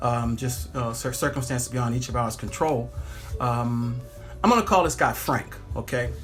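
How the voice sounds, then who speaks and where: Music plays in the background as a man with medium pitch and ordinary pitch variation speaks amid audible room echo. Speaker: pilot and social media vlogger. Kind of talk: casual vlog monologue. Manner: fast.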